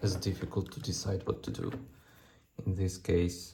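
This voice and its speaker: With a non-native accent, a man speaks in a dark, mellow tone that is somewhat breathy. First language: not English. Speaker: engineer and maker youtuber. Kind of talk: tutorial. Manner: halting, many fillers and repeats.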